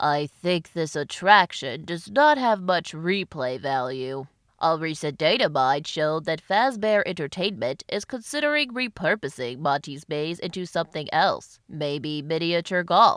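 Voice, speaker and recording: In a very clean recording with a silent background, a man puts on a character voice pitched high, with hardly any pauses. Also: moderate pace. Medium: read story. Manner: teasing, showy.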